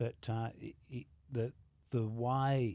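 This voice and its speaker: Fairly even intonation and a dark, mellow tone mark this voice with an Australian accent. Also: man. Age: 60s. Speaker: world record holder and fitness trainer. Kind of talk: podcast interview. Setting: gym.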